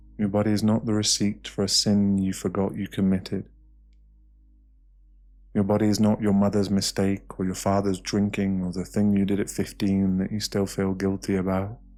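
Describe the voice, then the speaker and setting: Over music in the background, a man talks at a fairly low pitch in a monotone, flat intonation. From British. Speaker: meditation guide. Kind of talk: guided meditation. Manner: soft-spoken, slow.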